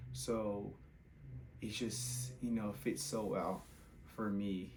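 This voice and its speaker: A man's fairly low voice in very wide pitch swings, with audible room echo. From Brazil. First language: Portuguese. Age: 20s. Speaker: content creator, former college soccer player. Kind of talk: casual vlog testimony.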